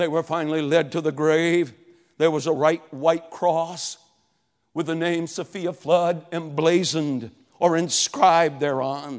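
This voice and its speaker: Fairly slow and fairly even in intonation, a man speaks at a fairly high pitch. He has a normal speaking voice. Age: 60s. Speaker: revival preacher. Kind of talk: sermon. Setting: church revival service with congregation.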